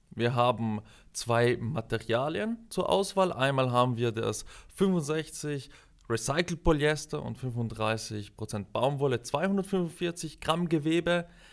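Speech in a South Tyrolean accent comes at a very slow pace with lively intonation. The recording is very clean, with a silent background. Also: man, fairly high pitch for a man. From South Tyrol, Italy. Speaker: product manager. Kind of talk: interview.

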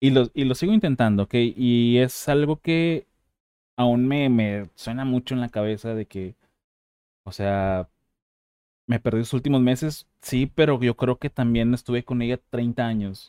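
The pace here is fairly slow. It is a man's voice, dark and mellow in tone. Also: medium pitch for a man, ordinary pitch variation, dry, close sound with no echo. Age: 30s. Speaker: podcast host. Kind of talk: casual interview chat. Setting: video call.

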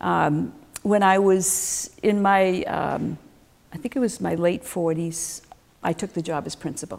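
At a fairly slow pace, a woman with a plain, everyday voice speaks at a fairly low pitch with ordinary pitch variation. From Massachusetts, Worcester. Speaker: retired school principal. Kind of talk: casual interview.

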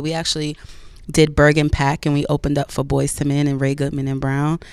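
A woman speaks with an American accent at a moderate pace. Her pitch is very deep and low. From New Jersey. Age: 30s. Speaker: R&B singer. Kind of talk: casual interview.

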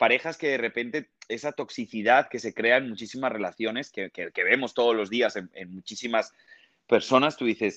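Over a quiet background, a man with an ordinary speaking voice talks at a moderate pace, recorded dry and close with no echo. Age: 30s. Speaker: TV presenter and actor. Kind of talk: casual interview.

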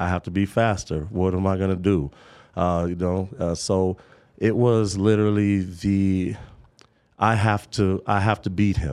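Against a quiet background, a man with an American accent speaks at a very deep, low pitch. His tone is dark and mellow, with fairly even intonation. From Kansas, US. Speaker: former pro football player. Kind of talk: interview storytelling.

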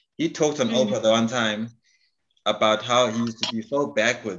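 A man speaks at a fairly quick pace with an unremarkable speaking voice. His pitch is medium, with ordinary variation. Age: 40s. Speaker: podcast host. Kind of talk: casual chat.

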